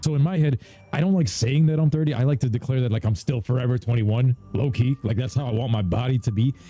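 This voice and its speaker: With music in the background, a man in an American accent speaks very fast in an animated tone, his medium pitch varying in an ordinary way at very even loudness. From New York (Jamaica, Queens). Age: 30s. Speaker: gaming streamer. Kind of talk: casual live-stream chat.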